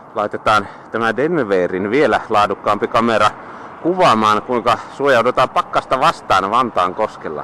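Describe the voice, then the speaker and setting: Noticeable background noise accompanies speech with lively intonation. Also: man. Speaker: cycling vlogger. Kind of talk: casual vlog narration. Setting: outdoors, riding a bike.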